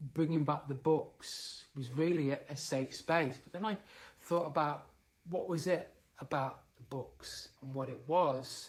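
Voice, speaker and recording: A man's voice comes out fairly high and somewhat breathy. He talks fairly slowly, with fairly even intonation. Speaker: leadership speaker. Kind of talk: talking-head monologue.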